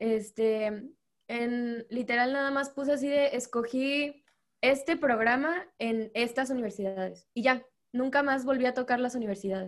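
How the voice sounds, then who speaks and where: Speaking fairly slowly, a woman uses a high pitch with ordinary variation. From Veracruz, Mexico. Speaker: law master's student, navy member. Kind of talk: casual panel chat.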